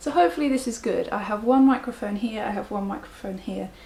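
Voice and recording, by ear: A soft-spoken woman with vocal fry, a slightly mellow tone and a fast pace. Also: medium pitch for a woman, ordinary pitch variation.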